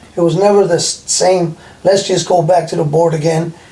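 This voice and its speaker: Noticeable background noise sits under a man's high-pitched voice. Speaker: former prisoner. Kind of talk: casual conversation.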